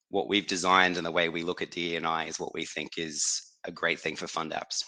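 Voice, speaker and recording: A man with an Australian accent, very deep and low in pitch yet bright and sharp in tone, monotone and flat, fairly quick, over a quiet background. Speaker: company executive, operations and HR. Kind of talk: webinar talk. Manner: halting, many repeated words.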